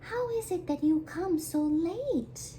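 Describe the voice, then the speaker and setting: A squeaky, high-pitched put-on character voice at a fairly slow pace, over clear background noise. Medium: read story. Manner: falsely sweet, wheedling; careful, quick-witted.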